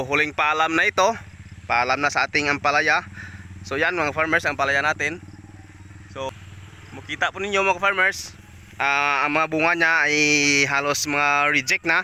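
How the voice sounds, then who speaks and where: A man with a bright, sharp tone talks at a moderate pace with ordinary pitch variation and long, frequent pauses, the sound dry with no echo and light background noise behind him. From Philippines. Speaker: police officer and farmer vlogger; farmer vlogger. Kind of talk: casual vlog talk to camera. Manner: hesitant, many filler sounds. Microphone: phone near.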